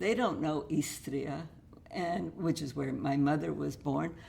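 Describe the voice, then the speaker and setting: Speaking at a fairly slow pace, a woman shows very wide pitch swings and vocal fry, with audible room echo. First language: Russian. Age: 70s. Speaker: author. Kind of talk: interview.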